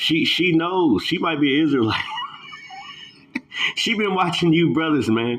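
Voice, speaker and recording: A man's fairly high voice with very wide pitch swings, at a moderate pace over noticeable background noise. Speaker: religious commentator. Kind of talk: reaction commentary. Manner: halting.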